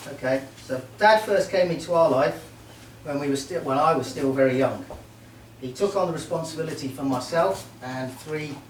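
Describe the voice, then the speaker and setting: Noticeable background noise and audible room echo surround a man speaking at a moderate pace. His pitch is fairly high, with ordinary variation. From Merseyside, England (Port Sunlight). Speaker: best man at wedding, army veteran. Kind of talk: wedding speech. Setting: wedding reception with audience.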